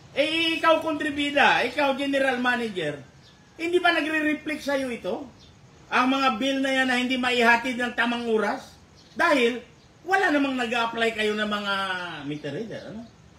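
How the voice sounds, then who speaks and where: A man's raised, projected voice at an extremely high pitch, animated in tone, with ordinary pitch variation, a moderate pace and noticeable background noise. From Philippines, Puerto Princesa, Palawan. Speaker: radio talk show co-host. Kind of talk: casual talk show discussion.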